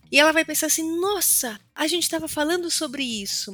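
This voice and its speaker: Bright and sharp in tone, the woman's voice is raised and projected. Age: 40s. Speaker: communication consultant and educator. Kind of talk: interview.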